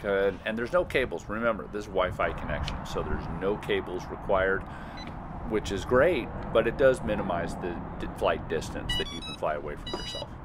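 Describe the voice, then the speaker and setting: A man talking at a fairly quick pace over background music. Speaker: drone reviewer. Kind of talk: tutorial. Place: open country.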